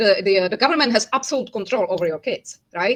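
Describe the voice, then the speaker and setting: Talking very fast with a Czech accent, a woman swings very widely in pitch. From Czechia, Prague. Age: 50s. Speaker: language teacher and interpreter. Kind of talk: casual interview chat.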